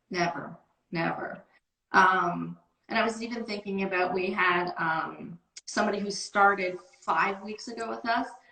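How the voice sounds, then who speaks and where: A woman with an unremarkable speaking voice talks at a moderate pace, with medium pitch and ordinary pitch variation. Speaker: sales team manager. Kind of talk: casual interview. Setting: video call.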